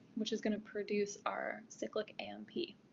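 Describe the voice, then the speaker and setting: This woman's voice is fairly high and somewhat breathy. Her pace is moderate. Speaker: tutorial teaching assistant. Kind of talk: tutorial. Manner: halting, many fillers.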